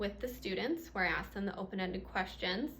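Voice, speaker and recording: There is audible room echo around a woman speaking with vocal fry. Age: 20s. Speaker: substitute teacher presenting research. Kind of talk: presentation. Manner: halting, many fillers.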